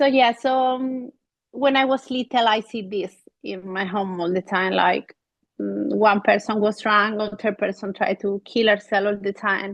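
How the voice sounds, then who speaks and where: A woman speaks at a fairly slow pace with an Andalusian accent, her medium-pitched voice caught in a dry, close sound with no echo. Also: fairly even intonation. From Spain. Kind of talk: podcast conversation.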